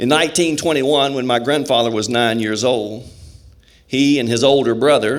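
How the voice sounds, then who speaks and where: This man has a Southern US accent and a medium pitch. His pace is moderate and his intonation fairly even. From south Arkansas. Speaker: teacher, pastor and hospice chaplain. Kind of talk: live personal storytelling.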